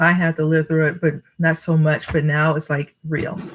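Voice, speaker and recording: In an American accent, a woman speaks at a moderate pace with a somewhat breathy, fairly low-pitched voice. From New Jersey. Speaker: storytime reader. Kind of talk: reading aloud; casual chat. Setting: live stream.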